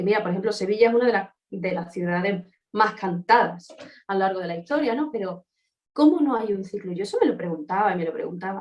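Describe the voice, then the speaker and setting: A woman speaks very fast in an animated tone, her medium pitch moving with ordinary variation. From Andalusia, Seville. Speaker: opera singer. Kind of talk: interview.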